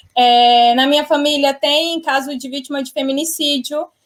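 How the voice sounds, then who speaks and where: At a moderate pace, a woman speaks in a high pitch on a very clean recording with a silent background. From Brazil, Tocantins (north). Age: 20s. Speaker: guest sharing personal health story. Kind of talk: testimony. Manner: animated.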